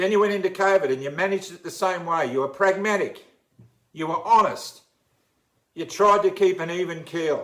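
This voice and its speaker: Fairly quick and high-pitched, a man speaks with big swings in loudness. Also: ordinary pitch variation. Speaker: uniformed worker. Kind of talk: impassioned public appeal.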